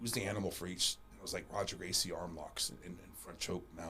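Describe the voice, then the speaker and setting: A man talks at a very fast pace. His tone is bright and sharp, with vocal fry. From Panama. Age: 40s. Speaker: martial arts champion and coach. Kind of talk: casual interview chat. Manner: halting, repeats words.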